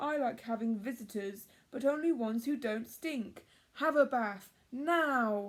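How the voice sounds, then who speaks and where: A woman's put-on character voice, bellowing at a high pitch and a fairly slow pace. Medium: read story. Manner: roaring.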